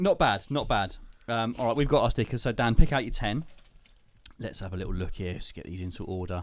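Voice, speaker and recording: Speaking at a fairly quick pace, a man uses lively intonation and a medium pitch in a plain, everyday voice. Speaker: podcast host. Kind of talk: casual chat.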